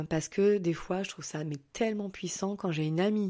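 Over a quiet background, a woman talks at a fairly quick pace. Her tone is dark and mellow, her intonation fairly even. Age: 40s. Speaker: holistic therapist and podcaster. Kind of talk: casual solo monologue. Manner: hesitant, many filler words.

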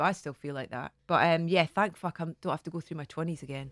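In a Scottish accent, a woman speaks with a very deep, low pitch. She goes at a very fast pace with fairly even intonation. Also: dry, close sound with no echo, very clean recording, silent background. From Scotland. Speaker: TV presenter. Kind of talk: casual chat.

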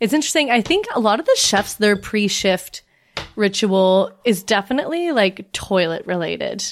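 This woman has a fairly high pitch, lively intonation, an ordinary speaking voice, very even loudness and a moderate pace. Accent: Canadian. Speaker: podcast host. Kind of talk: casual chat.

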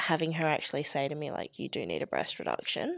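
The recording is very clean, and the background is silent. A woman talks in an Australian accent. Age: 20s. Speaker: breast reduction patient sharing lived experience. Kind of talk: casual interview.

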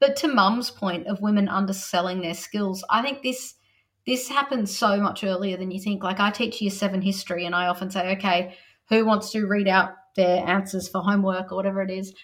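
A woman with an Australian accent speaks fairly quickly in a medium pitch. Her voice is somewhat breathy, and her intonation is fairly even. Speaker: teacher and author. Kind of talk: interview.

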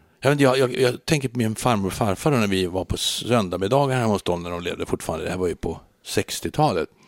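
An ordinary speaking voice from a man at medium pitch, fairly quick with hardly any pauses and lively intonation, in a very clean, dry, close recording with a silent background and no echo. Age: 60s. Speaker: engineer. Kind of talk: casual chat.

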